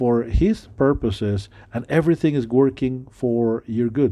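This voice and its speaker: A man speaks fairly slowly with a non-native accent. His pitch is medium and his intonation lively. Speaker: preacher. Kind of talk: sermon. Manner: halting, many fillers.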